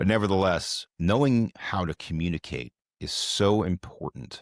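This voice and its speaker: A man's very deep, low voice carries lively intonation and vocal fry. The sound is dry and close with no echo, on a very clean recording with a silent background. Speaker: real estate economist. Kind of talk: podcast interview. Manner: calm, matter of fact.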